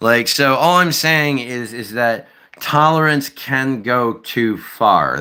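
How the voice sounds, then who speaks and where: A man with an American accent, a bright, sharp tone and a very slow pace. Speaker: streamer. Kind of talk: live stream chat. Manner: animated, profane.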